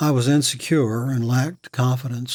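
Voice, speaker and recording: A man's somewhat breathy voice with fairly even intonation, in an American accent. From Virginia, US South. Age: 60s. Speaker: war veteran. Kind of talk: testimony.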